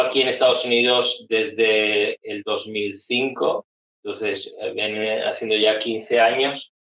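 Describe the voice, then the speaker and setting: Very slow speech from a man. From Spain, Málaga (Andalusia). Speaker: psychologist. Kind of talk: interview conversation.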